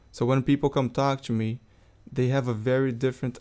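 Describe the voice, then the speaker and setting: Flat and monotone, the voice has a dark, mellow tone and a Portuguese accent in a very clean recording with a silent background. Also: man. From Brazil, Rio de Janeiro. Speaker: international student and soccer player. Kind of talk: interview.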